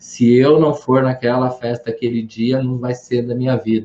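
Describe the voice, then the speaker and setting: This man talks at a moderate pace with a medium pitch. His tone is dark and mellow. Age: 60s. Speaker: educator and speaker on psychology. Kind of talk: live stream talk. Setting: online live stream. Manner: animated, conversational.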